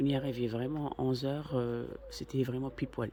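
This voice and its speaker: A soft-spoken man with a medium pitch talks at a moderate pace against noticeable background noise. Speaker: family vlogger. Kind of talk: vlog narration.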